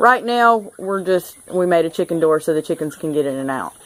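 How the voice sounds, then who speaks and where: Over noticeable background noise, a woman with a Southern US accent speaks with very wide swings in pitch. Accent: Southern US (South Georgia). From US South, South Georgia. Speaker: homesteader, DIY video maker. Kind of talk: casual show-and-tell tutorial. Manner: casual, hesitant with fillers.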